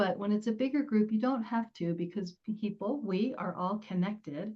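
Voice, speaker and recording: This speaker has an American accent and a somewhat breathy voice. The pace is moderate, with ordinary pitch variation. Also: woman, fairly high pitch for a woman. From New Jersey. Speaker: public speaking coach. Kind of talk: interview.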